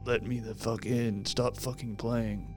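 Loud music plays in the background as a man speaks. He uses a put-on character voice at a fairly slow pace. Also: medium pitch for a man. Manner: halting, weirdly toned, like a trained talking pet.

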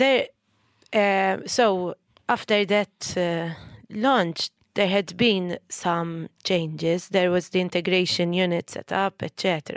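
At a very slow pace, a woman speaks at medium pitch with fairly even intonation on a very clean recording with a silent background. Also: dry, close sound with no echo. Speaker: activist. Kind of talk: casual chat. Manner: hesitant, many fillers.

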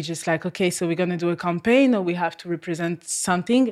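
A woman speaks with a French accent. Her pitch sits fairly low for a woman. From France. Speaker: model. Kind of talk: casual chat. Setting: studio.

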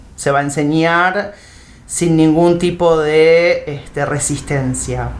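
A woman with an Argentine accent, very deep and low in pitch, very slow and fairly even, with audible room echo. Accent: Rioplatense Argentine Spanish. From Argentina, Buenos Aires province (Temperley). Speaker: teacher trainer. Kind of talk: interview. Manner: halting, with many repeated words and fillers.

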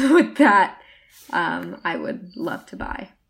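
A woman's voice with vocal fry and very wide pitch swings. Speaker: college student podcast co-host. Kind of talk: casual chat. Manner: animated.

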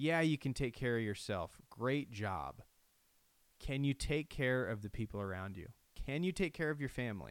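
With lively intonation and a medium pitch, a man speaks at a moderate pace on a very clean recording with a silent background. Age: 30s. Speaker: podcast host. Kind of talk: solo reflective monologue. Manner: halting.

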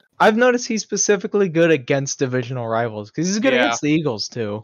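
A man with a fairly high pitch talks with very wide pitch swings. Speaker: podcast co-host. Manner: slow talker.

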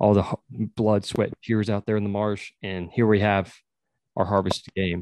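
With an American accent, a man talks at a fairly slow pace in a dry, close sound with no echo and a quiet background. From rural Texas. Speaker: podcast host and wildlife biologist. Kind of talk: casual interview chat. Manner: animated.

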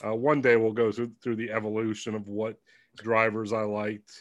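Recorded very cleanly against a silent background, a plain, everyday voice speaks at a moderate pace. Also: man. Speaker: podcast co-host. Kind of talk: casual podcast chat. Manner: joking, laughs often.

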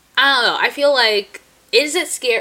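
Delivered at a moderate pace, the speech has an animated tone and comes with a New Jersey accent. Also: woman. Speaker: podcast co-host. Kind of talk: casual chat. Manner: animated, frequent laughter.

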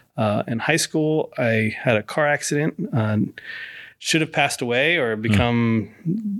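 In a very clean recording with a silent background, a man of medium pitch speaks in a normal speaking voice with lively intonation, very even loudness and a fairly slow pace. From moved around the US. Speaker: pastor and chaplain. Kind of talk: casual interview. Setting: studio.

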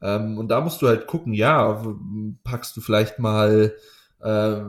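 A man talks at a medium pitch. The recording is very clean and the background silent. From Munich, Bavaria. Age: 20s. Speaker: powerlifting coach and athlete. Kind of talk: casual interview chat. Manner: hesitant, many filler sounds.

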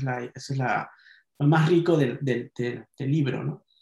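This man speaks at a moderate pace with a fairly high pitch, fairly even intonation and a somewhat breathy quality. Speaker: poet and novelist. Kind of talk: casual chat.

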